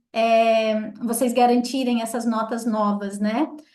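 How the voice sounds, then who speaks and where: A woman speaks at a very slow pace, with audible room echo around her voice. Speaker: tour group leader. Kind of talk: briefing for travel group.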